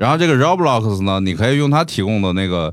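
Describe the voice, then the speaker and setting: Fairly quick speech from a man, a plain, everyday voice with fairly low pitch, on a very clean recording with a silent background. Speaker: podcast co-host, entrepreneur and investor. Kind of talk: casual chat.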